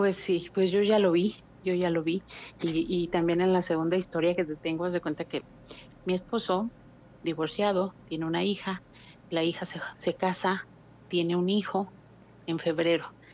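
Pausing long and often, a woman speaks at a moderate pace in a fairly low pitch with monotone, flat intonation. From Mexico City. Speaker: caller. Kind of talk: phone-in storytelling. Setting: phone call.

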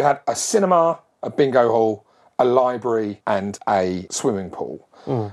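A man's pitch swings very widely as he speaks. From Essex/East London, England. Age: 40s. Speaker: podcast host. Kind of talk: casual monologue. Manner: animated.

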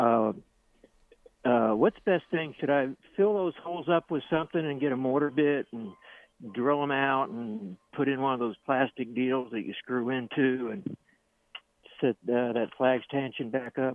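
At a moderate pace, a man with an American accent speaks at a medium pitch with ordinary pitch variation and long, frequent pauses. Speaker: caller. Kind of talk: casual chat. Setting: phone call. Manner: halting.

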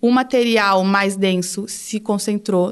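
A woman talks at a fairly slow pace with ordinary pitch variation. She has an ordinary speaking voice. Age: 20s. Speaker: geologist. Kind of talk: casual science explanation.

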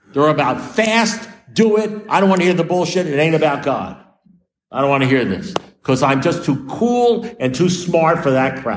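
A man's high-pitched voice with a New York accent and lively intonation, plus audible room echo. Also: moderate pace. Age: 70s. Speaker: recovering alcoholic speaker. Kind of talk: recovery meeting talk. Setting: meeting with audience.

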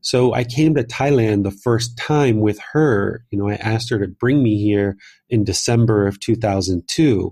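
A man speaks in a dark, mellow, somewhat breathy tone at a medium pitch and moderate pace, with ordinary pitch variation, on a very clean recording with a silent background. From US, Southern Maryland. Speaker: meditation teacher and author. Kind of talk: interview conversation.

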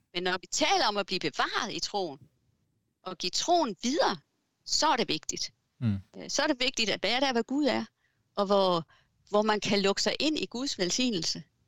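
Using very wide pitch swings at a fairly high pitch, a woman talks at a moderate pace with long, frequent pauses, the sound dry and close with no echo. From Southern Jutland, Denmark. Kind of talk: interview. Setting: video call. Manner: hesitant, many fillers.

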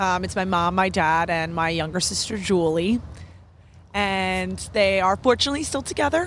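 With an American accent, a plain, everyday voice keeps a moderate pace while its pitch varies in an ordinary way. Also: woman, medium pitch for a woman. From New York. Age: 20s. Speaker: podcast guest, marketing professional. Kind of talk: casual interview chat. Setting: outdoors in a park.

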